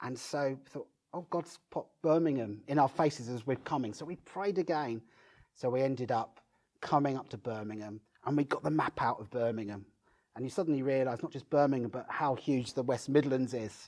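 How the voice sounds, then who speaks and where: Male speech at medium pitch, fairly quick, with ordinary pitch variation. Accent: Brighton. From southern England, Brighton. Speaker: pastor and church planter. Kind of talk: interview.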